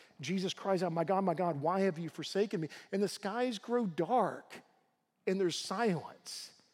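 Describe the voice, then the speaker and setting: Spoken with a slight Southern US accent, the clip is a very clean recording with a silent background. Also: man, high pitch for a man, ordinary pitch variation, moderate pace. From US South, Tennessee. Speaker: guest preacher, university professor. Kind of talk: sermon. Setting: church.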